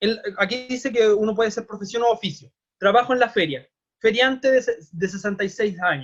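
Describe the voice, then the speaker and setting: Here a man speaks at a fairly quick pace. His pitch is high and varies in an ordinary way. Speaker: teacher. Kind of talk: online class lecture. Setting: video call.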